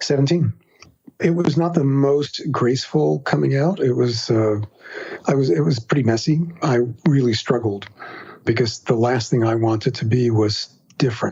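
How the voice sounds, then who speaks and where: Speaking at a moderate pace with long, frequent pauses, a man with an American accent uses lively intonation and very even loudness over noticeable background noise. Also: medium pitch for a man. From New York City, Queens. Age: 60s. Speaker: writer and podcaster. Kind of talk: interview.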